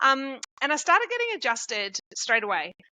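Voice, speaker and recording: A woman with an Australian accent. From rural Victoria, Australia. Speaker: chiropractor. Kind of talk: podcast interview.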